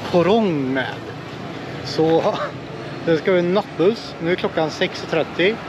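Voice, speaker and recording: A man speaks at a very slow pace. The sound is dry with no echo, though noticeable background noise comes through. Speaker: travel vlogger. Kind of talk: casual vlog chat. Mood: cheerful, laughing. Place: street. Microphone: phone near.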